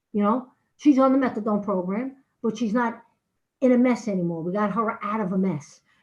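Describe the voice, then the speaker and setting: A woman is speaking. Her intonation is lively. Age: 60s. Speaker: addiction recovery outreach worker. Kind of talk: public comment at council meeting. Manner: halting.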